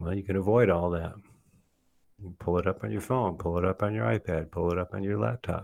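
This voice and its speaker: Dry and close with no echo, a man with a very deep, low pitch talks at a fairly quick pace with lively intonation. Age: 60s. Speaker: mentor and speaker on culture and faith. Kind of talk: casual interview conversation.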